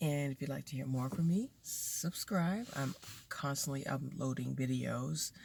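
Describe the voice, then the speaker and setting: A woman's very deep, low voice, somewhat breathy, on a very clean recording with a silent background. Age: middle-aged. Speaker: lifestyle vlogger. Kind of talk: casual vlog. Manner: casual, hesitant with fillers.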